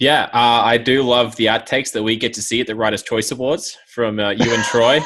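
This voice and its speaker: Speaking at a fairly quick pace with hardly any pauses, a man holds a medium pitch in a monotone, flat delivery. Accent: Australian. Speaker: podcast co-host, ice cross athlete. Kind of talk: casual chat.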